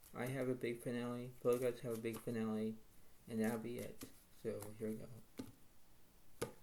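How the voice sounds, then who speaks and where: A man speaks quietly at a fairly slow pace. His dark, mellow tone comes with monotone, flat intonation. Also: medium pitch for a man. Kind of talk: casual game commentary to viewers.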